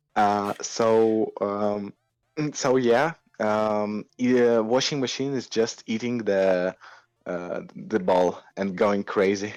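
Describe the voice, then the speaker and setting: A man with a non-native accent and fairly low pitch speaks at a very slow pace. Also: ordinary pitch variation, quiet background. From Moldova. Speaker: indie game developer. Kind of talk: casual interview. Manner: halting, many fillers.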